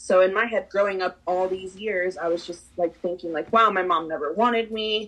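In a Spanish accent, a woman speaks at medium pitch and a moderate pace with ordinary pitch variation and hardly any pauses. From Peru. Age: 20s. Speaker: podcast guest, property manager. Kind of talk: casual interview chat.

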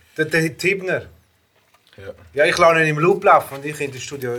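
Speaking at a fairly quick pace, the man has a high-pitched voice. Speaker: rapper. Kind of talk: casual chat.

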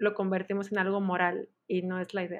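A woman's voice sits at a medium pitch, and her delivery is fairly slow. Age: 20s. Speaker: education graduate. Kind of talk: casual interview.

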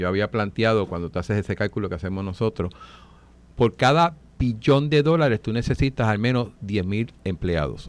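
A man talks in an ordinary speaking voice, pitched fairly low. His intonation is lively and his pace is moderate. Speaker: legislator. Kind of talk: radio panel discussion.

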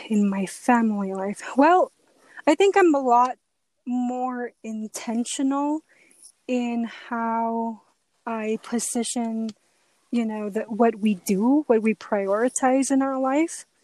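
Talking at a very slow pace, a woman uses a fairly high pitch and ordinary pitch variation in a dry, close sound with no echo. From Mexico, Ciudad Juarez. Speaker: forensic psychologist. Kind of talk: casual interview.

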